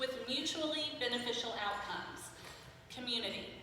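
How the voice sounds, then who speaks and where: A woman speaks in a raised, projected voice with a high pitch and ordinary pitch variation. Her moderate pace carries audible room echo. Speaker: university outreach staff. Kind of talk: presentation talk.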